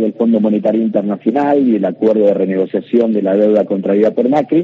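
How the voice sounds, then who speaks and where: This man's pitch is medium and varies in an ordinary way. He speaks at a very fast pace. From Argentina, Rosario (Santa Fe). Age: 40s. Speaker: politician. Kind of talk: radio interview. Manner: hesitant with fillers.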